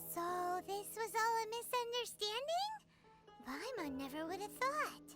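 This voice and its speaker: Someone uses a put-on character voice at a moderate pace, with long, frequent pauses and loud music in the background. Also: woman, extremely high pitch for a woman. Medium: video game. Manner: talks about herself in third person.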